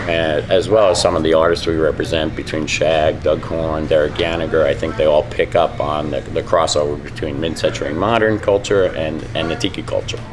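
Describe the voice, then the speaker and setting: Moderately paced male speech with noticeable background noise behind it. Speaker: lounge owner. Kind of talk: interview. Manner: hesitant, many fillers.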